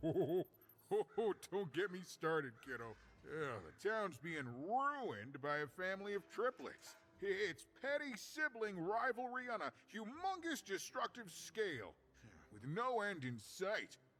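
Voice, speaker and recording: A man uses a put-on character voice, pitched high with very wide pitch swings. His pace is moderate. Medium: video game. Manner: chatty, joking, theatrical.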